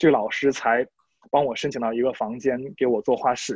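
With a plain, everyday voice, a man speaks at a medium pitch and a fairly quick pace. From Shandong, northern China. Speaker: art student and painter. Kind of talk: casual chat. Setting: video call.

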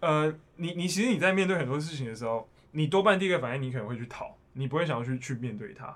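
A man with a fairly high voice talks at a very fast pace, his intonation lively. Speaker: accountant turned bank worker. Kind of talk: casual chat.

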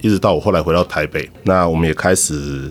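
Here a man talks at a moderate pace with very deep, low pitch. His intonation stays fairly even. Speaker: baseball cheer squad drummer. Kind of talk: casual interview chat.

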